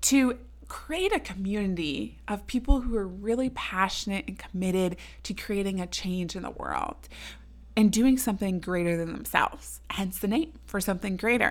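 A woman talks at a moderate pace and a medium pitch. She has a normal speaking voice. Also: very clean recording, silent background. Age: 20s. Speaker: podcast host. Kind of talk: solo podcast monologue.

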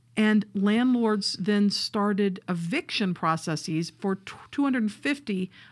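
A woman with a Southern US accent at a fairly slow pace, medium pitch and ordinary pitch variation, on a very clean recording with a silent background. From US South. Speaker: podcast co-host. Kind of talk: casual chat.

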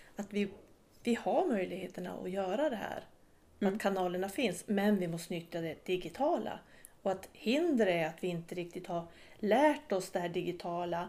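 Her tone is dark and mellow, at a medium pitch for a woman. She talks at a moderate pace with ordinary pitch variation. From Sweden, inland Västerbotten (Vilhelmina). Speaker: podcast host, local politician. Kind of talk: casual interview chat.

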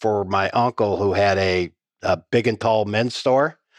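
The sound is dry and close with no echo and a quiet background, as a man with an American accent speaks at a fairly low pitch with ordinary pitch variation. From rural Iowa, US Midwest. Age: 50s. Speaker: insurance company CEO. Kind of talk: interview.

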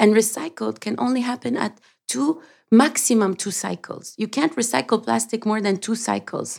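In a very clean recording with a silent background, a woman with a fairly high voice talks at a moderate pace with lively intonation and vocal fry. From Lebanon, raised partly in Canada. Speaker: sustainability advocate and founder. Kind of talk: interview.

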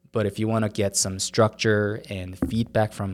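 A man with a Korean accent, a fairly low pitch and fairly even intonation. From South Korea. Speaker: startup founder. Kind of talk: interview. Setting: studio.

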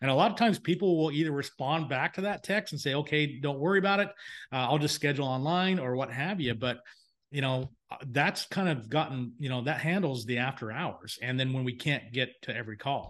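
Against a quiet background, a man uses an ordinary speaking voice with ordinary pitch variation. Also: fairly high pitch for a man, fairly quick pace. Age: 50s. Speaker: home inspection business owner and software founder. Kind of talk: casual chat. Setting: remote recording.

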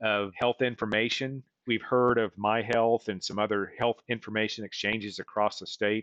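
In a plain, everyday voice, a man talks at a moderate pace with fairly low pitch, the sound dry and close with no echo. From rural western Oklahoma. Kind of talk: interview.

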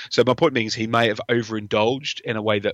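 A man with an English accent, medium pitch, a bright, sharp tone, fairly even intonation and a fairly quick pace. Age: 30s. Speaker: film fan. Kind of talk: casual chat.

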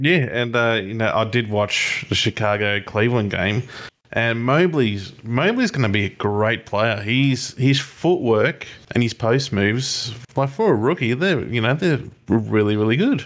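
With an Australian accent, a man speaks at a fairly slow pace using ordinary pitch variation. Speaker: podcast co-host. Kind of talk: casual chat.

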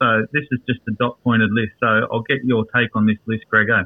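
Here a man speaks with an Australian accent. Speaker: football fan. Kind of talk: casual chat. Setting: studio.

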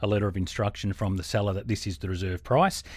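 A man with an Australian accent and a fairly low pitch, on a very clean recording with a silent background. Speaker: auctioneer. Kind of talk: interview. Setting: studio.

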